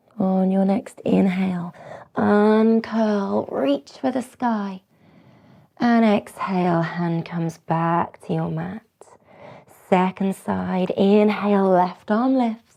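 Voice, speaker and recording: Soft-spoken and very slow, a woman with a British accent has a dark, mellow tone. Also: medium pitch for a woman, ordinary pitch variation. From Britain. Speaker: yoga teacher. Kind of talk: guided yoga class instruction. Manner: soft-spoken, slow, gentle.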